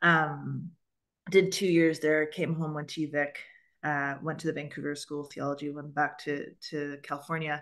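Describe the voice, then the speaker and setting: A woman with a Canadian accent talks at a moderate pace in a very deep, low pitch, flat and monotone, with big swings in loudness against a quiet background. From Canada. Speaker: church moderator, book club host. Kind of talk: webinar book discussion.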